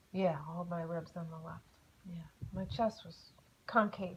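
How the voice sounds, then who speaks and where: The voice shows vocal fry and ordinary pitch variation. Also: woman. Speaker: car crash survivor. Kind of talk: interview testimony. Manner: casual, halting.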